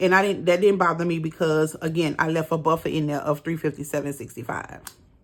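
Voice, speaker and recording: A woman speaks in a plain, everyday voice, fairly low in pitch with fairly even intonation. The recording is very clean, with a silent background. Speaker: budgeting vlogger. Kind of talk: casual tutorial. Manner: casual, many fillers.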